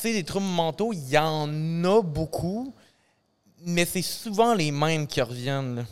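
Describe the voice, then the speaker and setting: A man with a Quebec accent at a very slow pace, with long, frequent pauses, lively intonation and a fairly high pitch. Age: 20s. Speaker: teacher and musician. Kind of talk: casual chat.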